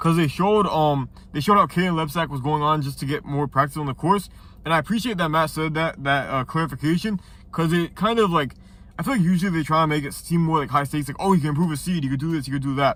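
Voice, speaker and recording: A man at a very fast pace, fairly high pitched, with ordinary pitch variation. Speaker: YouTuber reviewing TV show episodes. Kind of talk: casual video review. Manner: casual, halting with fillers.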